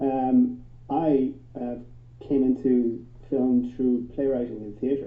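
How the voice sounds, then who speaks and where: A medium-pitched man with an Irish accent at a very slow pace, long and frequent pauses, big swings in loudness, and audible room echo. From Ireland. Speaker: film teacher. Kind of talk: panel discussion.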